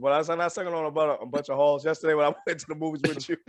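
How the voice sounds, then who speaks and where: This man's fairly high voice carries an animated tone. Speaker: movie review show host. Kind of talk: casual chat.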